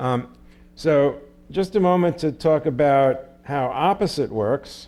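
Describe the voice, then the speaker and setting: A man's medium-pitched, normal speaking voice with lively intonation. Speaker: computer science professor. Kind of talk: lecture.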